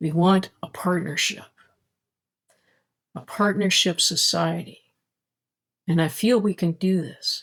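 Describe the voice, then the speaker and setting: A woman with a fairly low pitch, somewhat breathy, speaks at a fairly slow pace with long, frequent pauses and ordinary pitch variation. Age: 60s. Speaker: spirituality vlogger. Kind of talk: casual monologue. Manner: halting.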